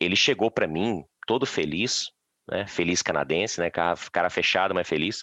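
In a Minas Gerais accent, a man speaks with a very deep, low pitch and a bright, sharp tone, at a moderate pace with ordinary pitch variation and very even loudness, the sound dry and close with no echo against a quiet background. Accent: Minas Gerais (mineiro) Portuguese. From Minas Gerais, Brazil. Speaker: forestry engineer, Brazilian immigrant. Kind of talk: casual interview chat.

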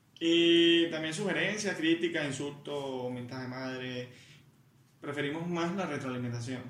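Audible room echo surrounds a man speaking at a fairly slow pace and a fairly high pitch with ordinary pitch variation. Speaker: podcast co-host. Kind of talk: casual chat.

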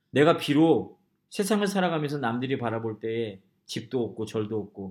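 This is a man's voice. His intonation is lively. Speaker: pastor. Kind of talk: sermon. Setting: church. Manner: fast.

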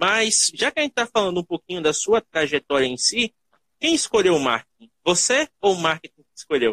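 At a moderate pace, a man talks in a high, bright, sharp voice with very wide pitch swings. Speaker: podcast host. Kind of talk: casual interview. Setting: live stream.

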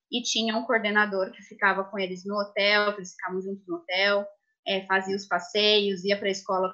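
This is an unremarkable speaking voice from a woman. She has a medium pitch and a moderate pace. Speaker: former au pair. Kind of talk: live stream panel talk.

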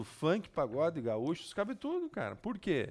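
High-pitched, a man talks at a moderate pace. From southern Brazil, Passo Fundo. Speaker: public administration specialist. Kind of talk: casual interview. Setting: studio.

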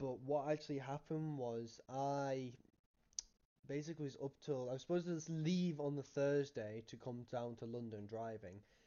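A man with a Cumbrian accent and a fairly high voice. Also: ordinary pitch variation, moderate pace. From Cumbria, northern England. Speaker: podcast co-host. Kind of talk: casual chat.

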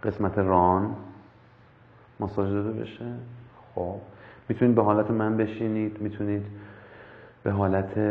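A man speaks at a moderate pace in a fairly low voice, his intonation flat and monotone, with long, frequent pauses. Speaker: meditation instructor. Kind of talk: guided meditation. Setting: live stream. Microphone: far from the mic.

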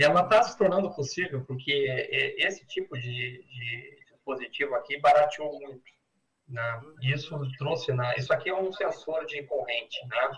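A man has an unremarkable speaking voice at fairly high pitch. He keeps a moderate pace with ordinary pitch variation and big swings in loudness. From Porto Alegre, southern Brazil. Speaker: entrepreneur. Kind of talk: interview.

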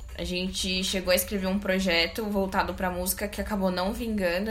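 A woman with a medium-pitched voice speaks at a fairly quick pace. Noticeable background noise and audible room echo surround her. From São Paulo, Zona Sul. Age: 30s. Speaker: cultural entrepreneur, co-founder. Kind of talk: casual chat.

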